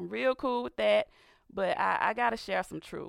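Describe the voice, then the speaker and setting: Recorded very cleanly against a silent background with a dry, close sound and no echo, a woman talks in an animated tone at a moderate pace. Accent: Southern US. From US South, Georgia. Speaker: radio host. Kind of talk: religious talk radio monologue with prayer. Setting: studio.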